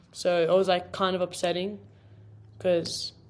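A woman's fairly low voice at a moderate pace, in an Australian accent. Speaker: college footballer. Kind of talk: casual chat.

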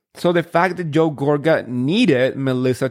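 A man with a Spanish accent talks at a moderate pace in a fairly high pitch with ordinary pitch variation. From Spain, moved to New Jersey at 13. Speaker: podcast host, reality TV recapper. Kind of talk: solo casual recap podcast. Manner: chatty, enthusiastic.

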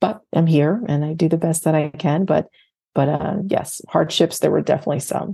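Somewhat breathy, a woman speaks in a very deep, low pitch with a dark, mellow tone. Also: ordinary pitch variation, moderate pace. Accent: American. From North Carolina and New Jersey. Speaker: entrepreneur and consultant. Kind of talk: podcast interview. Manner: hesitant with fillers.

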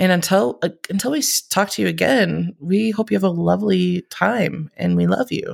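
A woman speaks at a moderate pace with hardly any pauses. The sound is dry and close, with no echo. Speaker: podcast co-host. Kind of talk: casual chat.

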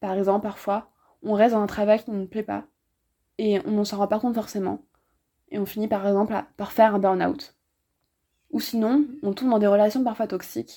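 At a moderate pace with long, frequent pauses, a woman with fairly high pitch and a dark, mellow tone speaks in fairly even intonation on a very clean recording with a silent background. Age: 20s. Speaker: podcast host, philosophy student. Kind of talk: scripted narration. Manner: formal.

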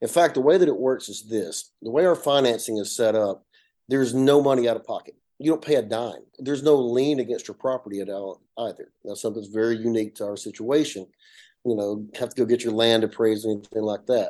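A man with an Appalachian accent speaks at a very fast pace in a medium pitch, with a dark, mellow tone and ordinary pitch variation. His loudness swings a lot against a quiet background. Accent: Southern US, Appalachian. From north Georgia, US. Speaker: solar company CEO. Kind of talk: interview, explanatory talk. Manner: conversational, hesitant with fillers.

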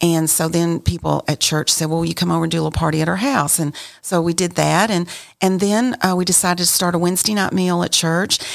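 Speaking at a very fast pace with an American accent, a woman keeps a fairly low pitch, very even loudness and fairly even intonation. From West Texas, Amarillo. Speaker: caterer. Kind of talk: casual chat.

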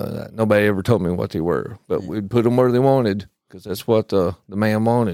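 A plain, everyday voice with ordinary pitch variation sounds dry and close with no echo on a very clean recording with a silent background. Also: man. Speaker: military veteran. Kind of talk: casual podcast interview.

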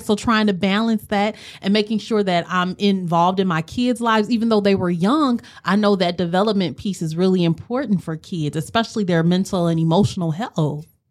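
At a moderate pace, a woman with an American accent speaks at a medium pitch with ordinary pitch variation. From Milwaukee, Wisconsin. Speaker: mental health therapist. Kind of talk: interview.

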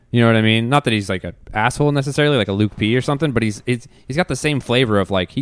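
Very fast and animated, a man talks with ordinary pitch variation on a very clean recording with a silent background. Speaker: co-host. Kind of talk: casual chat. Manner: animated, jokey.

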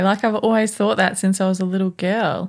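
Speaking at a moderate pace with an Australian accent, a woman uses a medium pitch in a very clean recording with a silent background. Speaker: podcast co-host. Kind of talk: casual chat. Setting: studio. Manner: relaxed.

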